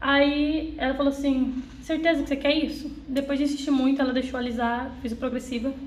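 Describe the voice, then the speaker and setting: A woman talks at a fairly quick pace with hardly any pauses, her pitch high. Her intonation stays monotone and flat, and room echo is audible. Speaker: young apprentice in finance. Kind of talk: personal testimony.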